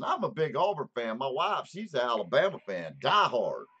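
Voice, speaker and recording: In a Southern US accent, the man keeps a moderate pace. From US South. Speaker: vaping channel host. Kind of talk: casual chat.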